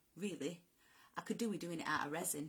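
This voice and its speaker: This woman has a fairly low pitch. Her intonation is lively. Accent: northern English. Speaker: driftwood artist. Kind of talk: live-stream craft tutorial. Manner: casual, hesitant.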